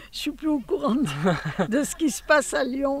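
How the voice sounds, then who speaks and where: Noticeable background noise sits behind a woman's high voice. She talks at a fairly slow pace with lively intonation. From Normandy, France. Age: 80s+. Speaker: eyewitness to wartime Lyon. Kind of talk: interview answer.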